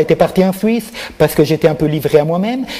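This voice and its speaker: A man with a non-native accent speaks with lively intonation and a fairly high pitch. Noticeable background noise runs behind him. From Switzerland, Neuchâtel (grew up from age 14). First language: not French (speaking French). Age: 60s. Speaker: artist. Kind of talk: interview. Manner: halting, many repetitions.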